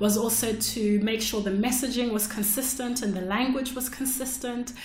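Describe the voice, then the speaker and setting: The intonation stays fairly even at a moderate pace. Background noise is noticeable throughout. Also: woman. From Zimbabwe. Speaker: podcast host and technical writer. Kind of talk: solo podcast monologue. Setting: solo recording. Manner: casual, with frequent fillers.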